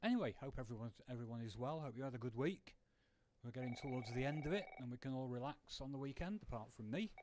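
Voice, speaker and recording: Speaking at a very fast pace with a British accent, a man uses a medium pitch and ordinary pitch variation. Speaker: video game streamer. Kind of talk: casual live-stream chat.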